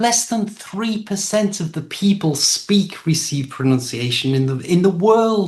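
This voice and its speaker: The speaker has an English accent and a fairly slow pace. There are hardly any pauses. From England. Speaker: English teacher. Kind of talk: casual chat.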